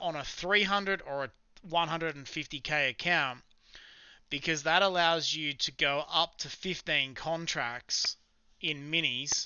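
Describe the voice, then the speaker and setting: Here a man talks with an Australian accent. His pitch is fairly high and varies in an ordinary way. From South Australia, Adelaide. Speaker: live-streaming day trader. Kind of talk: live stream chat with viewers. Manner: casual, conversational.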